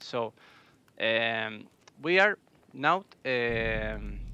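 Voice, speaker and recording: A man with a non-native accent speaks at a medium pitch in a bright, sharp tone, with a dry, close sound and no echo. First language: Spanish. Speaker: esports caster. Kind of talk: live commentary. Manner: halting.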